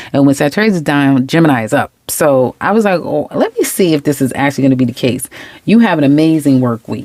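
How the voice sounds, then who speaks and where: A woman talks at a very fast pace with a very deep, low pitch. Her intonation is lively and her tone animated. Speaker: tarot reader. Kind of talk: tarot reading monologue.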